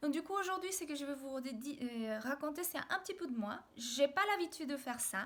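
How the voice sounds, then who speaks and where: Her intonation lively, a woman speaks at a moderate pace in a high voice. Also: hardly any pauses. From Mexico, Mexico City. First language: Spanish (speaking French). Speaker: video blogger. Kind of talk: personal video diary. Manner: hesitant, many fillers.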